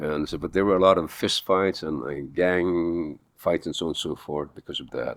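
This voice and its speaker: The voice moves at a moderate pace with fairly even intonation. The sound is dry and close, with no echo. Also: man. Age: 80s+. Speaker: actor; pastor. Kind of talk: interview answer. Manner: casual, conversational.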